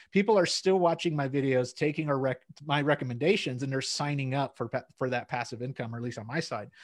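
The man talks at a very fast pace in an energetic tone. His pitch is fairly high, with ordinary variation. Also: very clean recording, silent background. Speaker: accountant and YouTuber guest. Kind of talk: casual chat. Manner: extroverted, energetic.

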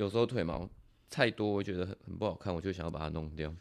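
A man talks very fast, his intonation lively. Everything is captured in a very clean recording against a silent background. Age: 20s. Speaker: fitness coach. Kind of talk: casual chat.

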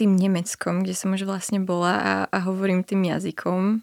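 A woman speaks at a fairly slow pace with a medium pitch. The sound is dry and close, with no echo. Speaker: journalism student and documentary author. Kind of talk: radio interview.

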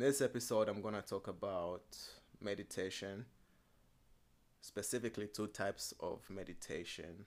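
A man speaks at a moderate pace and a fairly low pitch, with fairly even intonation and long, frequent pauses. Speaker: podcast host. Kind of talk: casual podcast talk on meditation. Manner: calm, relaxing.

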